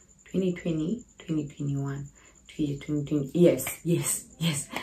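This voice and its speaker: Somewhat breathy, a woman speaks with a very deep, low pitch, a dark, mellow tone, and fairly even intonation. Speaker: YouTuber. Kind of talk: casual vlog.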